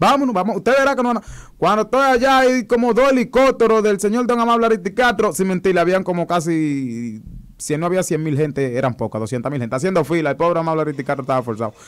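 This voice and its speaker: A man speaks at a very fast pace in a high voice, his pitch swinging very widely. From Dominican Republic, Higüey (La Altagracia); Dominican Republic. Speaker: viral internet personality and political fan; interview guest. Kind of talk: casual interview. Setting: radio and TV studio. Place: studio. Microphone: studio mic.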